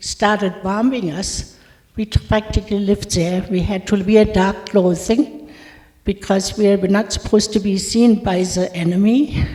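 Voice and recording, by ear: A woman speaks at a slow pace with a slightly mellow tone and few pauses.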